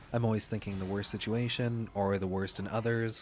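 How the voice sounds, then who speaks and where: A man talks at a fairly quick pace in a calm tone. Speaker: gaming youtuber. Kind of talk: gameplay commentary voiceover.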